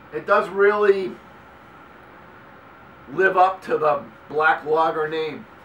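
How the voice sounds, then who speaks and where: Against noticeable background noise, a man with an American accent talks with a high pitch and lively intonation. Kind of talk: casual beer review talk to camera. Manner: casual, halting.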